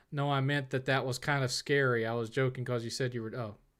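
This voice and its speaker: The voice belongs to a man. He speaks in a Southern US accent. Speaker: streamer answering viewer questions. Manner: casual, conversational.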